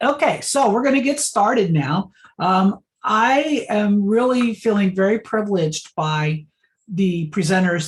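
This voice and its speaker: A woman's somewhat breathy voice with lively intonation. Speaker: event facilitator. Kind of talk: online event introduction. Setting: video call.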